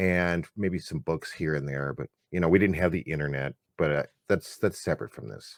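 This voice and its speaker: A man speaks at a fairly quick pace with a very deep, low pitch, vocal fry and ordinary pitch variation. His loudness swings widely, and the sound is dry and close with no echo. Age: 50s. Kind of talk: casual chat.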